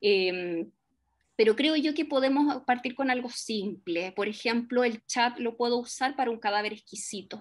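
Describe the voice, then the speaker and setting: This woman's high voice shows ordinary pitch variation as she talks at a fairly slow pace. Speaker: lecturer and teacher educator. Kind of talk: Q&A after a seminar talk. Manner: hesitant, many fillers.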